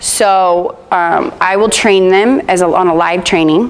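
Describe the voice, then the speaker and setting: A woman's medium-pitched voice with fairly even intonation, amid noticeable background noise and audible room echo. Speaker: product trainer. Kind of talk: training session. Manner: fast; casual.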